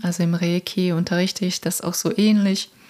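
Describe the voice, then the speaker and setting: A woman talks in a soothing, calm tone. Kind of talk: guided meditation. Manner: slow, soothing, calm.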